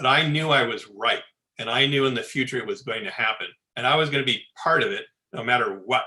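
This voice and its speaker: A man with an American accent talks at a fairly quick pace and a medium pitch. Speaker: space architect. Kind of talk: Q&A answer at online talk. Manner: loud; animated.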